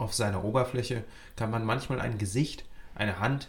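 At a moderate pace, a man speaks in a medium-pitched, somewhat breathy voice. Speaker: podcast host. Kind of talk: scripted informative presenting. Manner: clear, lively, explanatory.

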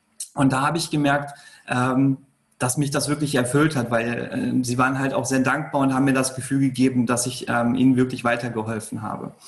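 A man's medium-pitched voice at a fairly quick pace, with monotone, flat intonation. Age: 30s. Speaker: entrepreneur. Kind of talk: interview.

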